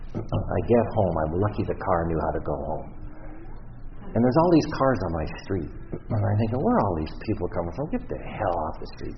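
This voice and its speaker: A man's very deep, low voice with a Canadian accent, lively intonation and a fairly quick pace, over noticeable background noise. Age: 60s. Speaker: recovery speaker. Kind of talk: testimony. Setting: stage with audience.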